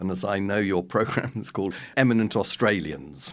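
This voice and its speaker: A man with an English accent and fairly low pitch on a very clean recording with a silent background. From London, England. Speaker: public health professor. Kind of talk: interview.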